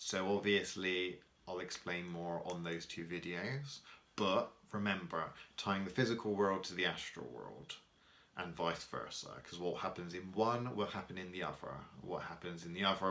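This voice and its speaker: Audible room echo surrounds a man whose very deep, low voice has a bright, sharp tone, ordinary pitch variation and a moderate pace. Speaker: spell-casting teacher. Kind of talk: tutorial. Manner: casual, with filler ums.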